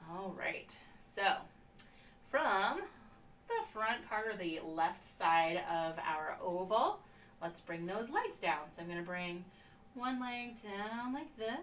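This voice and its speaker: A woman speaks at a very slow pace with long, frequent pauses and lively intonation, amid noticeable background noise and audible room echo. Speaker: painting instructor. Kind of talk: tutorial. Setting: live stream. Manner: soft-spoken. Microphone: no microphone, may sound too low.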